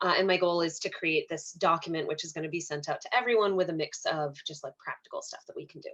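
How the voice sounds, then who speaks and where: Her voice is fairly low-pitched for a woman, with a bright, sharp tone and a fairly quick pace over a quiet background. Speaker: therapist. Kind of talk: presentation. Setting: video call. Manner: fast.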